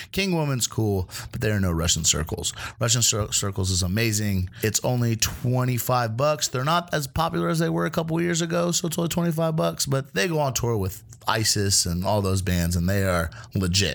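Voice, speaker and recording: At a fairly quick pace, a man with a fairly low pitch makes very wide pitch swings while his loudness stays very even. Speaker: producer filling in as co-host. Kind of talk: casual chat. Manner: loud, casual.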